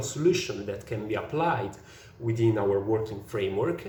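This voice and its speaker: Amid noticeable background noise and audible room echo, a man with an Italian accent speaks fairly slowly with lively intonation. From Italy. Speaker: software engineer. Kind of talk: prepared presentation. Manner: halting, many fillers.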